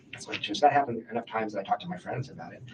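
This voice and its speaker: Noticeable background noise sits under this man's voice. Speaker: witness in police interview. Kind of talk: police interview. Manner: fast.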